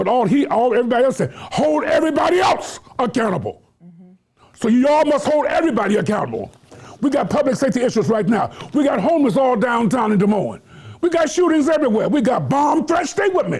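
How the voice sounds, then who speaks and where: With an American accent and an extremely high pitch, a man talks at a very fast pace with lively intonation and very even loudness over noticeable background noise. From Washington DC. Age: 70s. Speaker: community activist and former legislator. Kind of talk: closing remarks on talk show. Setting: studio. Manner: animated.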